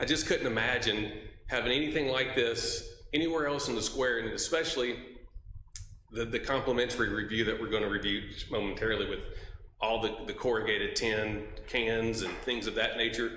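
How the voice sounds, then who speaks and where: A man with a Mississippi accent speaks fairly quickly at medium pitch with fairly even intonation, amid audible room echo and noticeable background noise. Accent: US Southern (Mississippi). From Mississippi (Oxford). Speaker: member of the public. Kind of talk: public comment at city commission meeting.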